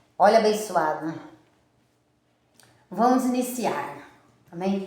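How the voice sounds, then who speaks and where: Speaking at a fairly slow pace, a woman sounds animated, her intonation lively, with audible echo from the room. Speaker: preacher. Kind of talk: sermon.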